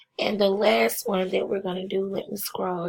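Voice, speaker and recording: The speaker is a woman. Her pitch is medium. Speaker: math teacher. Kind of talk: math tutorial narration. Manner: casual, conversational.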